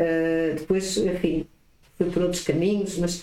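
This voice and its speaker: Someone speaks at a fairly slow pace with a European Portuguese accent, with noticeable background noise behind. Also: woman. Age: 60s. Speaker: entrepreneur and lawyer. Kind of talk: interview.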